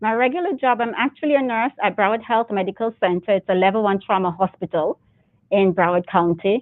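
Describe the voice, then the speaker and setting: A woman in a Jamaican accent, fairly quick in pace, with ordinary pitch variation. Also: medium pitch for a woman. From Jamaica (Clarendon, May Pen). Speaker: military reserve officer and nurse. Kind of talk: interview. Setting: studio, speaking through double glass and mask.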